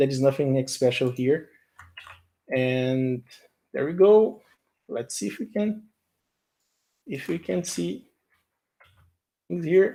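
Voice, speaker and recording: A man with a Portuguese accent speaks at a very slow pace, with long, frequent pauses. His fairly high-pitched voice has a dark, mellow tone and very wide pitch swings. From Brazil. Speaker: software engineer. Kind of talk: live coding tutorial. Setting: live stream. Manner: halting, with frequent repetitions and fillers.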